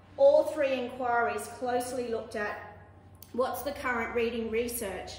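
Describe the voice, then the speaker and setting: A woman speaks at a moderate pace in an Australian accent, her pitch high and her intonation monotone and flat. Noticeable background noise and audible room echo surround her. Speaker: teacher. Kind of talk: presentation to parents.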